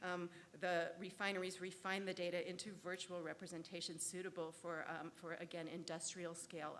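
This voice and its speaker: At a moderate pace, a woman with a fairly low voice talks in a fairly even intonation. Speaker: law scholar, conference panelist. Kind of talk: conference presentation. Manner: hesitant, many fillers.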